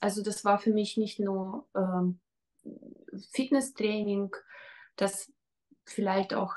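A woman's very slow, monotone, flat delivery over a quiet background. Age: 40s. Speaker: fitness trainer. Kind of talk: testimonial interview. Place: home room. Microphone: webcam.

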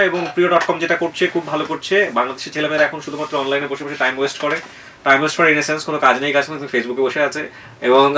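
Noticeable background noise accompanies a man whose voice sits fairly high. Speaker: radio host. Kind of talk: interview.

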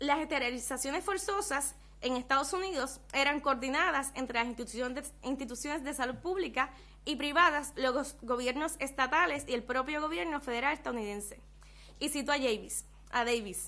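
Using a raised, projected voice, a woman speaks at a moderate pace with a high pitch and ordinary pitch variation. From Puerto Rico. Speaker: ethnographer researcher; presenter. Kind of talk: reading a paper aloud. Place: meeting room. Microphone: podium.

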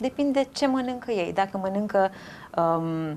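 A woman at a moderate pace with very wide pitch swings, over light background noise. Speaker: nutritionist. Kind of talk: casual chat. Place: home room. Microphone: lapel.

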